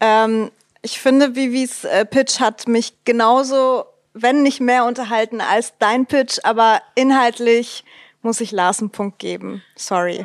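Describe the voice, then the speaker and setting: Speaking very slowly, a woman with a fairly high pitch and fairly even intonation is captured in a dry, close sound with no echo. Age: 20s. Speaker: filmmaker and actress. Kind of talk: casual game show chat.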